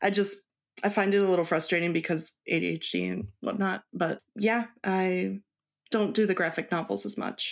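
Vocal fry runs through this woman's medium-pitched voice. She keeps a moderate pace and fairly even intonation. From Mexico. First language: Spanish. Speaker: cross stitch designer. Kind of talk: casual interview chat.

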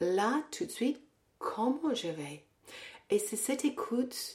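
A woman's voice at a very slow pace, with very wide pitch swings. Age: 60s. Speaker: Pilates teacher and fitness coach. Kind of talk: casual interview. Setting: at the guest's home. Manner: hesitant, many repetitions.

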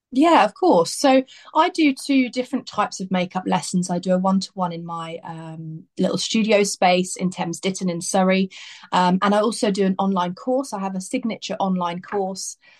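Speaking with an English accent at a moderate pace, the voice sounds somewhat breathy with ordinary pitch variation, in a dry, close sound with no echo. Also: woman, medium pitch for a woman. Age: 30s. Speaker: makeup artist. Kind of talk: casual chat. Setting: video call.

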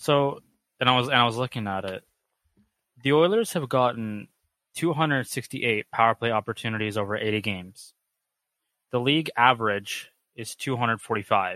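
A man at a medium pitch, bright and sharp in tone, with ordinary pitch variation, a fairly slow pace, long, frequent pauses, and a dry, close sound with no echo. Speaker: student voicemail caller. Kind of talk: voicemail question.

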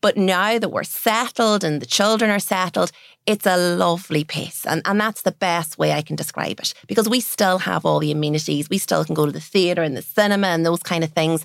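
A woman's fairly low voice at a fairly quick pace, with ordinary pitch variation, hardly any pauses, and a very clean recording over a silent background. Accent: Donegal. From Ireland, Donegal. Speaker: business owner. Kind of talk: interview.

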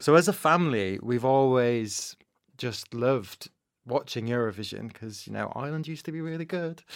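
A man with a Manchester accent at medium pitch, fairly quick pace, lively intonation and big swings in loudness, on a very clean recording with a silent background. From northern England, Manchester. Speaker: broadcast journalist and podcast host. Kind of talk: casual interview.

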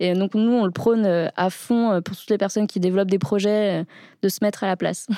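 On a very clean recording with a silent background, a woman with an ordinary speaking voice talks fairly quickly at a medium pitch with fairly even intonation. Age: 30s. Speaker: wheelchair user and startup co-founder. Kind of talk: casual interview. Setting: studio.

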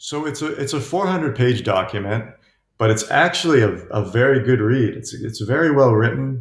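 A man with an American accent and a medium pitch speaks at a moderate pace in a somewhat breathy voice, captured on a very clean recording with a silent background. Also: ordinary pitch variation. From upstate New York, US. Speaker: author and journalist. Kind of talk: interview. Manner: halting, many fillers and repetitions.

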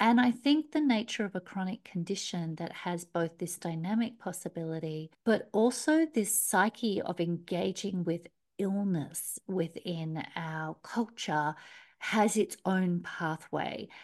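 Against a quiet background, a woman with an Australian accent talks at a fairly slow pace with lively intonation. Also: medium pitch for a woman. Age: 50s. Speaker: career coach. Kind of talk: interview. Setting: remote call.

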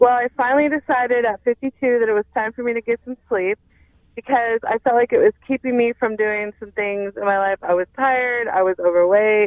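A woman talks at a fairly quick pace with ordinary pitch variation. She has an unremarkable speaking voice. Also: fairly high pitch for a woman. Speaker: caller. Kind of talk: personal testimony. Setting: phone call.

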